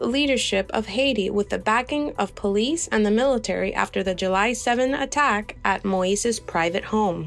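A woman speaks with lively intonation at a moderate pace while music plays behind her. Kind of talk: radio newsreading. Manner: formal, measured, neutral anchor tone.

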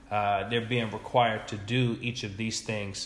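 A man with an American accent speaks in a fairly low pitch. His intonation is monotone and flat, with audible room echo. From New York area suburbs. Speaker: educator. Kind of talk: interview.

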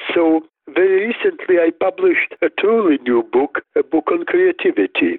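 With a Russian accent, the voice swings very widely in pitch while keeping a very even loudness at a moderate pace. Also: man, extremely high pitch for a man. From Soviet Union, Riga and Moscow. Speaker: neuroscientist and clinician. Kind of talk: interview.

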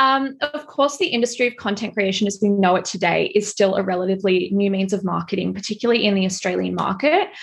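A woman's somewhat breathy, medium-pitched voice at a very fast pace with hardly any pauses and ordinary pitch variation. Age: 20s. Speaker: fashion stylist and content creator. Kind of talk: interview.

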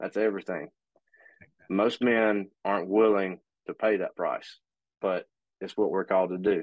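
A man with a fairly low pitch talks at a moderate pace in monotone, flat intonation, with long, frequent pauses. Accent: Alabama. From US South, northern Alabama. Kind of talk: casual chat.

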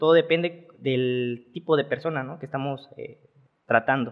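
A man with a normal speaking voice, a fairly high pitch, and a moderate pace. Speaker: bodybuilder and nutritionist. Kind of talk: casual interview. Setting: studio.

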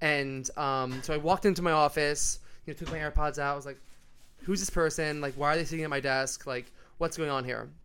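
Speaking fairly quickly with a New York accent, a man uses a fairly high pitch, a bright, sharp tone and fairly even intonation. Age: 20s. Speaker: podcast guest, American expat in Australia. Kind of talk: casual chat.

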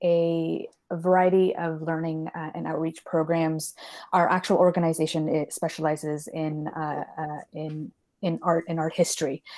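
A woman's fairly low, dark and mellow voice with big swings in loudness, on a very clean recording with a silent background. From Canada. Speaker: learning programs manager in higher education. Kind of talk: interview.

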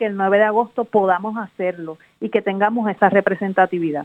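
In a normal speaking voice, a woman of medium pitch talks at a fairly quick pace with fairly even intonation. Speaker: university professor and senate candidate. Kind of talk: radio interview.

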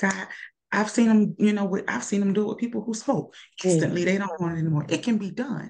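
A woman of medium pitch, somewhat breathy, with lively intonation and a very fast pace. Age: 40s. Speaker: nurse. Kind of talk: casual chat.

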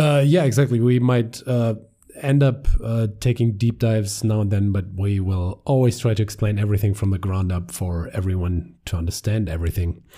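Speaking with a German accent, a man has a fairly low pitch and a dark, mellow tone that is somewhat breathy. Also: ordinary pitch variation, moderate pace. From Germany. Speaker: podcast host. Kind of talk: casual chat. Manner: hesitant, many fillers.

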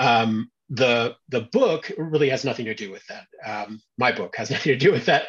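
A somewhat breathy man at medium pitch talks at a moderate pace with hardly any pauses, ordinary pitch variation and big swings in loudness. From US South, southern Louisiana. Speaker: novelist. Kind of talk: interview. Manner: halting, many fillers.

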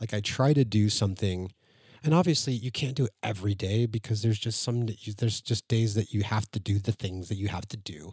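Somewhat breathy, a man talks at a fairly quick pace with ordinary pitch variation, in a dry, close sound with no echo. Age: 40s. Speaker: podcast host. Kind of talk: casual solo monologue. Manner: halting, many fillers and restarts.

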